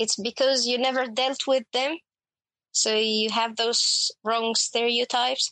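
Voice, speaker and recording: A woman with an Arabic accent speaks at a very slow pace in a high pitch, with monotone, flat intonation and very even loudness. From Egypt. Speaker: HR professional. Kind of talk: casual chat.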